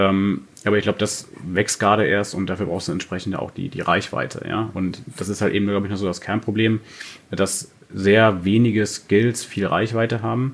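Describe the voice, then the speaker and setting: With fairly even intonation and a fairly low pitch, a man talks at a moderate speed. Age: 30s. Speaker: online marketing entrepreneur. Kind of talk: casual interview. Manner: hesitant, many fillers.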